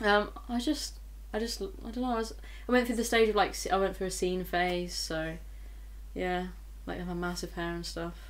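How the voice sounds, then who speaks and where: A woman speaks with long, frequent pauses, and audible room echo surrounds her voice. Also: moderate pace. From Bristol, England. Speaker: singer-songwriter. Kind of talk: casual interview.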